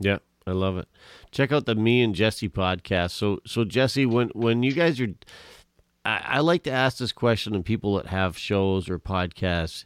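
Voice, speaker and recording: A man with an ordinary speaking voice talks at a moderate pace in a fairly low pitch with lively intonation, recorded dry and close with no echo on a very clean track with a silent background. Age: 50s. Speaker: podcast host. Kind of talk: casual interview chat.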